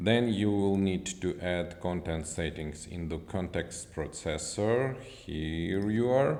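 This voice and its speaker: A man with a very deep, low pitch speaks very slowly with hardly any pauses and ordinary pitch variation, and audible room echo. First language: not English. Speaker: software developer. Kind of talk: tutorial. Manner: halting.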